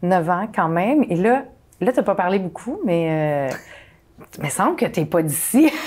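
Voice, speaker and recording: A woman speaks with a Quebec accent at a medium pitch, her voice swinging very widely up and down. She talks at a fairly slow pace with long, frequent pauses. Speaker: talk show host. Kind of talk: casual interview chat. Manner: hesitant, many fillers.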